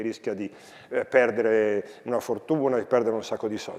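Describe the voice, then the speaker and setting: A man speaks over noticeable background noise. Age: 60s. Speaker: philosophy professor and school educator. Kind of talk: talk to students.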